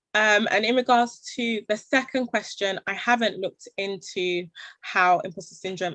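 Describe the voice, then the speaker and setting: A woman in a London accent, fairly slow, with ordinary pitch variation and a dry, close sound free of echo. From London, England. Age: 20s. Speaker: social enterprise founder. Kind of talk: panel Q&A talk.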